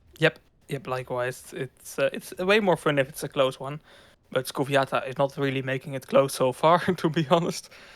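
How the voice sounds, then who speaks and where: Recorded dry and close with no echo, a man with a Dutch accent talks at a moderate pace and a fairly high pitch, with ordinary pitch variation and big swings in loudness. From Netherlands. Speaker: esports commentator. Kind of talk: live commentary.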